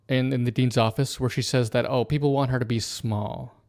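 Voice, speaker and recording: The tone is dark and mellow, the pace is moderate, and the recording is very clean with a silent background. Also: man. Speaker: streamer reviewing a TV show. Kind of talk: live stream commentary. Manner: casual, halting with fillers.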